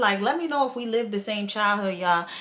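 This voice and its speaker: The speaker is a woman. She uses lively intonation. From Queens, New York City. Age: 20s. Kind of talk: casual storytime talk to camera.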